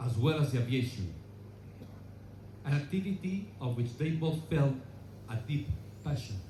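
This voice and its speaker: In a Spanish accent, a man speaks at a medium pitch with a dark, mellow tone, somewhat breathy and with lively intonation, leaving long, frequent pauses amid audible room echo. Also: moderate pace. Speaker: relative of honored aviator, ceremony speaker. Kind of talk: memorial speech. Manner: halting; formal.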